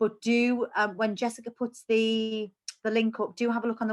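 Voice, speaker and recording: A woman with a Geordie accent. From northern England, Newcastle. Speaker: cancer support charity worker. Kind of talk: online presentation.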